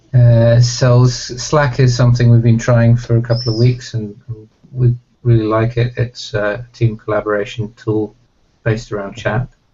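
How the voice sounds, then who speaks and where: The delivery is monotone and flat at a moderate pace. The speaker has a British accent. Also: man, medium pitch for a man. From Iceland, British parents. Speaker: software project organiser. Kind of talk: casual chat.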